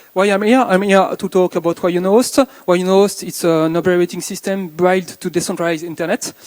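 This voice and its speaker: A French accent at a fairly quick pace, with fairly even intonation and a dry, close sound with no echo. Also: man, high pitch for a man. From France. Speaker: conference speaker. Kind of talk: conference talk. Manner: halting.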